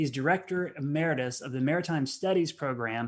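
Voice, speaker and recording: A man with a Southern US accent at a moderate pace, on a very clean recording with a silent background. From US Southeast. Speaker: science cafe host. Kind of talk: live-stream hosting. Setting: video stream.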